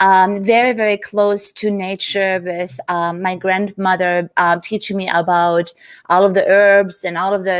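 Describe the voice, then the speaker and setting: A woman with a German accent, fairly even intonation, and a dry, close sound with no echo. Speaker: business coach, entrepreneur. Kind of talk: interview on live stream.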